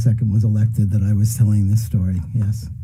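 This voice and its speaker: A man's fairly low voice at a fairly quick pace, with fairly even intonation, audible room echo and noticeable background noise. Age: 70s. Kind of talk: casual chat. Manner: halting.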